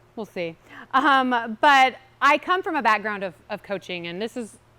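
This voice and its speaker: A loud voice with a bright, sharp tone and an American accent comes through in a very clean recording with a silent background. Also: woman. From US Midwest, Kansas City. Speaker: nutrition coach. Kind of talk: seminar talk. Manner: casual, filler-heavy.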